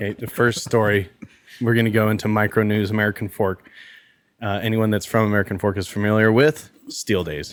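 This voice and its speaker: A man at a fairly quick pace, fairly low in pitch, with fairly even intonation. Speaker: podcast host. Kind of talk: casual chat.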